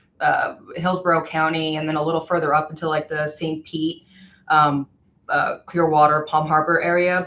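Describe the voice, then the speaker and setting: The woman's pitch is fairly low. She talks at a moderate pace with fairly even intonation. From El Paso, Texas (Mexican-American border town). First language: Spanish. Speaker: personal injury attorney. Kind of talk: podcast interview.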